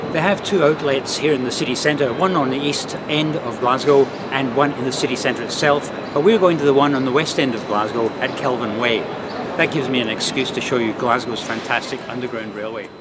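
Loud background noise surrounds this recording. A man speaks at a fairly quick pace with ordinary pitch variation. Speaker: food vlogger. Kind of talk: casual vlog chat. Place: street. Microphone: phone near.

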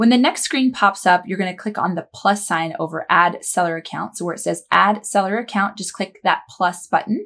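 A woman with lively intonation keeps to a moderate speed. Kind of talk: tutorial. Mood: friendly, upbeat. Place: office.

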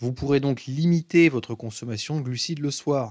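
Against a quiet background, a man speaks fairly slowly in an unremarkable speaking voice, with medium pitch and ordinary pitch variation. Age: 20s. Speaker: fitness coach. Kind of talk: tutorial.

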